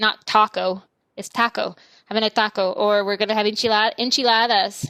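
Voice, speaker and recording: A woman with an American accent speaks at a moderate pace in a fairly high, bright and sharp voice with monotone, flat intonation, on a very clean recording with a silent background and a dry, close sound with no echo. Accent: Texan, soft, on Spanish words. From Texas.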